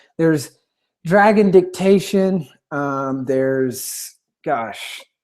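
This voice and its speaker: This voice carries a Southern US accent and a dark, mellow tone. Its pitch swings very widely. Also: man. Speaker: webinar presenter, author. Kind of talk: webinar presentation. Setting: live online webinar. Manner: fast; animated.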